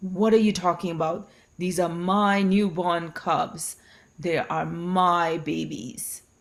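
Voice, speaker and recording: A woman's put-on character voice, fairly low in pitch and fairly slow, in a very clean recording with a silent background. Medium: read story. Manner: blustering, domineering.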